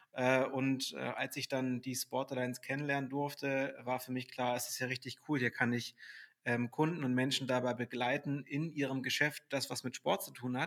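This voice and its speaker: A man delivers his words in a flat, monotone intonation, keeping to a moderate pace. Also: medium pitch for a man. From Hamburg, northern Germany. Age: 30s. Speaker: sales director at a fitness software company. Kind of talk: podcast interview. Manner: hesitant, many filler sounds.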